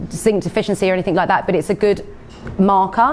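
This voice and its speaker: Over noticeable background noise, a woman with an Essex accent talks at a very fast pace and a medium pitch. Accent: Essex Cockney, comes through sometimes. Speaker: nurse and nutritional therapist giving a talk. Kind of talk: health talk Q&A with audience.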